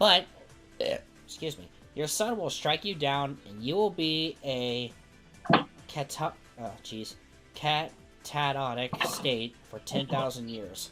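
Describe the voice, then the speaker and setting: A put-on character voice sits at a low-to-middle pitch and moves at a fairly slow pace with long, frequent pauses. Background noise is clearly audible. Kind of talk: casual game show banter.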